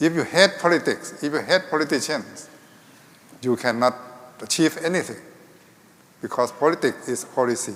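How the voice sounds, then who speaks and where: Speaking at a moderate pace with long, frequent pauses, a man with a Thai accent uses a fairly high pitch and ordinary pitch variation. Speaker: health ministry official. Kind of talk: panel discussion.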